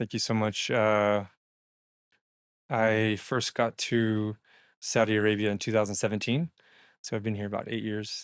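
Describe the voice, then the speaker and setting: A man with a Texan accent and a fairly low pitch speaks at a moderate pace, with long, frequent pauses. The sound is dry and close with no echo, on a very clean recording with a silent background. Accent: Texan American English. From Texas. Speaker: entrepreneur and investment strategist. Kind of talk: podcast interview.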